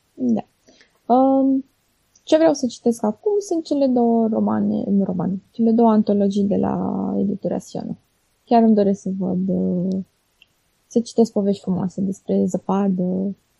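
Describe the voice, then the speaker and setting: Speaking at a fairly slow pace, the woman leaves long, frequent pauses. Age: 30s. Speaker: blogger. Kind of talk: interview. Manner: halting.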